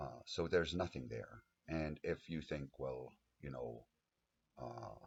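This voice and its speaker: Very deep and low in pitch with vocal fry, a man speaks at a very slow pace with ordinary pitch variation and long, frequent pauses. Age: 50s. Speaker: abuse survivor advocate. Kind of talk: personal testimony monologue. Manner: halting, many fillers.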